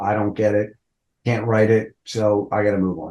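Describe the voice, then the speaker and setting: Over a quiet background, a dark, mellow voice moves at a moderate pace. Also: man. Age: 60s. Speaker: rock band vocalist. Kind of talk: interview. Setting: podcast interview. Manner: casual, conversational.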